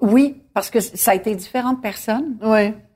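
A woman with a fairly high voice and ordinary pitch variation speaks very slowly. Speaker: singer. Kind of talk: casual interview over dinner.

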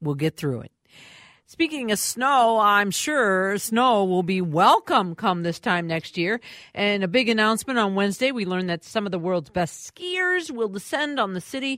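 A woman with an Upper Midwest accent speaks at a moderate pace in a medium pitch, her intonation lively, on a very clean recording with a silent background. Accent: Upper Midwest (Minnesota). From Minneapolis, Minnesota. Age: 60s. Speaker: fill-in radio host. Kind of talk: radio talk show interview.

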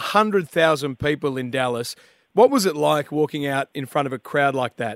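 Spoken with an Australian accent, the voice moves at a moderate pace with ordinary pitch variation. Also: man. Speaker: radio host. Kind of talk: breakfast radio show. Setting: studio. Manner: animated.

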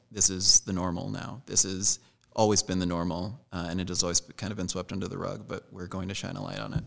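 A man talks very fast with a very deep, low pitch and fairly even intonation. His loudness swings widely. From grew up moving around as military child. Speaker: dancer. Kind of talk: interview. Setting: dance studio.

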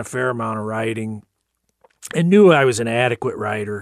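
A man with a Midwestern US accent and ordinary pitch variation. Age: 60s. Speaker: retired research engineer and author. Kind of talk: radio interview. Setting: studio.

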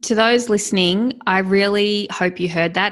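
The speaker has an Australian accent and talks at a fairly slow pace with ordinary pitch variation over a quiet background. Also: woman. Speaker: podcast host. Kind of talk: casual interview.

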